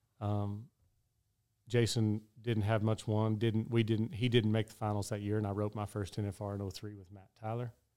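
In a West Texas accent, a man with a fairly low pitch and a dark, mellow tone speaks in a flat monotone, in a very clean recording with a silent background. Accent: West Texas drawl. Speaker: professional rodeo roper. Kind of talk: interview storytelling.

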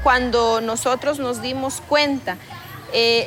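Noticeable background noise accompanies a woman with a high pitch who speaks at a fairly slow pace. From Guatemala, Lake Atitlán. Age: 30s. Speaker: environmental activist. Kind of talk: interview. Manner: halting.

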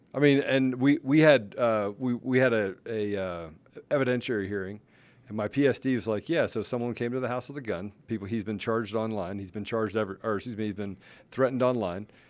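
A man with an American accent talks very fast at medium pitch, with ordinary pitch variation. The recording is very clean, with a silent background. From Washington, D.C. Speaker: podcast host. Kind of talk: casual chat.

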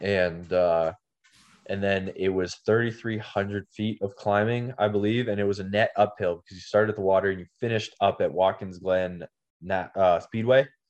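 Against a quiet background, a man with an ordinary speaking voice talks at a moderate pace, his pitch fairly low and his intonation fairly even. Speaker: podcast host. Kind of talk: casual chat.

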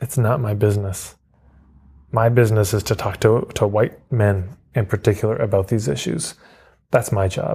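A man with a Canadian accent, his fairly low voice dark, mellow and somewhat breathy, at a moderate pace with ordinary pitch variation. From Canada, Edmonton, Alberta. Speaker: marketing coach and author. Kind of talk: interview conversation.

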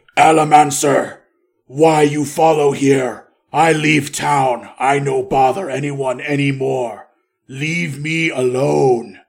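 A man uses a put-on character voice at a fairly high pitch. His pace is very slow. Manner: broken halting speech, aggrieved.

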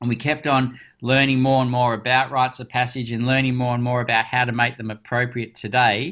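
A man with an Australian accent speaks fairly quickly at a medium pitch in a flat monotone, hardly pausing, on a very clean recording with a silent background. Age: 50s. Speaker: doctor and youth program founder. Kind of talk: interview.

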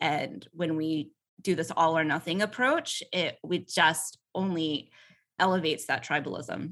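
A woman with an American accent speaks at a very deep, low pitch. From US South, Atlanta. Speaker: politician and attorney. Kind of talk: interview.

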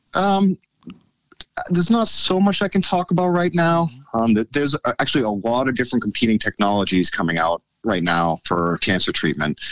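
A man with an American accent speaks at a medium pitch, his voice swinging very widely up and down while the loudness stays very even. The sound is dry and close, with no echo. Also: moderate pace. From United States. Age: 40s. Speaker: scientist. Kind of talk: casual interview chat.

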